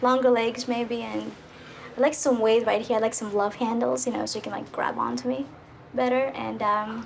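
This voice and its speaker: A woman talks in a Russian accent over noticeable background noise. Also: moderate pace. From Russia, Moscow. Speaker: dating show contestant. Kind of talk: casual chat.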